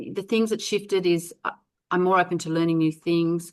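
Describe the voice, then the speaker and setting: Against a quiet background, a woman with a plain, everyday voice talks at a fairly quick pace and fairly low pitch, with ordinary pitch variation. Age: 60s. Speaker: network marketer. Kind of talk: interview answer.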